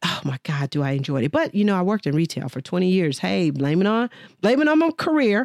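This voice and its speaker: On a very clean recording with a silent background and a dry, close sound with no echo, a woman with an American accent talks at a very fast pace and medium pitch, her pitch swinging very widely. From Texas, Dallas. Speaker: podcast host, business coach. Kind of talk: personal monologue. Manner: casual, with many fillers.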